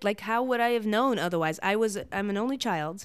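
With lively intonation and an animated tone, a woman speaks at a moderate pace in a fairly high pitch, captured in a very clean recording with a silent background. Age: 30s. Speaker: friend of the host, digital nomad community organizer. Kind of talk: casual chat. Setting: lying in bed at the host's house. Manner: animated, laughs often.

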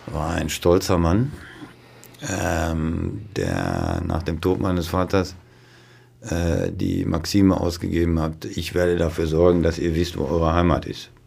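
Room echo is audible around a man with a very deep, low pitch. He speaks very slowly with fairly even intonation. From Westphalia, near Dortmund (Ruhr edge). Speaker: neurologist, chief physician. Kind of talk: casual interview.

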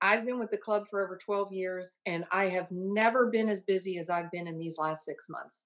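In an American accent, a woman with a plain, everyday voice talks at a moderate pace and a medium pitch, using ordinary pitch variation. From Ohio. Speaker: private club membership director. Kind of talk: interview. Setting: video call.

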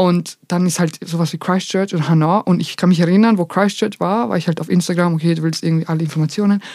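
A woman with a fairly low pitch talks at a very fast pace, with hardly any pauses. Her tone is dark and mellow. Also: fairly even intonation. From Vienna, Austria. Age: 20s. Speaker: content creator. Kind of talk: casual chat.

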